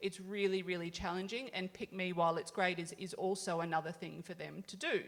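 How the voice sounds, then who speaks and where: A woman in an Australian accent talks at a fairly quick pace, her fairly low voice keeping a fairly even intonation. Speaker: health service food program officer. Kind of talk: conference panel discussion. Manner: fast.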